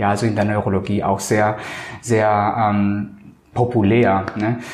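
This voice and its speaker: Noticeable background noise and audible room echo come through as a man speaks. His voice is fairly low-pitched, with fairly even intonation and a fairly slow pace. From Colombia. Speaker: cosmetic surgeon. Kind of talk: interview. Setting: medical practice. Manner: hesitant, many filler sounds.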